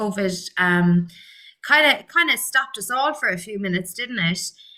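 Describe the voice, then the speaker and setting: With an Irish accent, a woman talks at medium pitch and a moderate pace in a bright, sharp tone. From Ireland, Limerick. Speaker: actress and acting coach. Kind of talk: interview.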